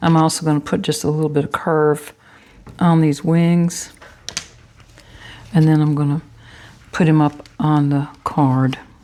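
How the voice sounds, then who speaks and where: Speaking at a fairly slow pace with long, frequent pauses, a woman with a very deep, low pitch keeps very even loudness and fairly even intonation over noticeable background noise. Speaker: papercraft YouTuber. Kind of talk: tutorial. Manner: chatty.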